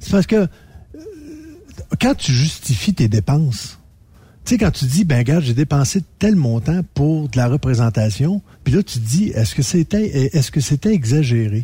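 Somewhat breathy and fairly high-pitched, a man talks at a fairly slow pace with very wide pitch swings and long, frequent pauses. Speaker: radio columnist, former chef. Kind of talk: casual chat.

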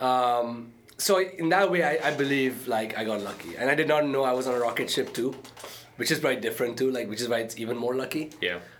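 Noticeable background noise and audible room echo accompany the recording. A man of medium pitch speaks at a fairly quick pace with ordinary pitch variation. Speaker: entrepreneur and startup investor. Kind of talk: interview conversation.

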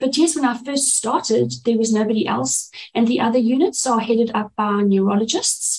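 This woman talks at a fairly quick pace. Her voice is somewhat breathy. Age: 40s. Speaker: neurophysiologist. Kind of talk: interview.

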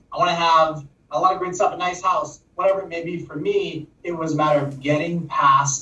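Noticeable background noise is present. Through it, a man speaks at a moderate pace. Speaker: co-host. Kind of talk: live interview chat.

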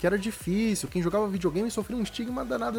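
Noticeable background noise under a man's very fast speech. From Rio de Janeiro, Brazil. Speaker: retro gaming magazine creator. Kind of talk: casual chat.

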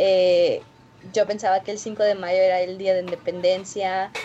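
A woman's voice over noticeable background noise. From Florida, US (Mexican-born). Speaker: social entrepreneur. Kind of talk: interview.

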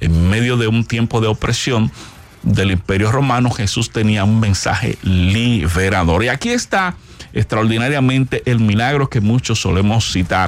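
At a fairly slow pace, a man speaks with medium pitch. Noticeable background noise can be heard. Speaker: pastor and radio co-host. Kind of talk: sermon.

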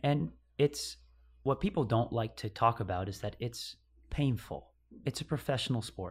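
A man with an American accent speaks at a moderate pace in a medium pitch, somewhat breathy, with ordinary pitch variation and long, frequent pauses, on a very clean recording with a silent background. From upstate New York. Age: 30s. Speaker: CrossFit athlete. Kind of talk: casual chat.

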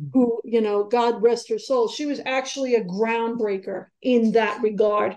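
A fairly high-pitched woman with a New York accent, fairly even intonation and a moderate pace. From New York (Queens, Long Island). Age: 40s. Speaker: author and journalist. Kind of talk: interview.

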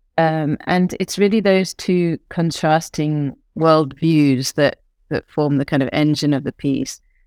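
A woman with a British accent speaks at a fairly slow pace in a very deep, low pitch, and the sound is dry and close with no echo. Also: ordinary pitch variation, very clean recording, silent background. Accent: British English (RP-like). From England. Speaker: choreographer and artistic director. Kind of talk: interview.

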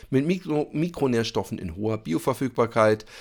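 With lively intonation and vocal fry, a man talks at a moderate pace on a very clean recording with a silent background. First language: German. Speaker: podcast host. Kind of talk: ad read.

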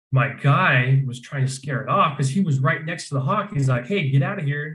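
A man with an American accent speaks in a fairly high voice that is somewhat breathy, his intonation fairly even. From Arizona. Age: 20s. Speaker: falconry business owner. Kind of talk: casual interview.

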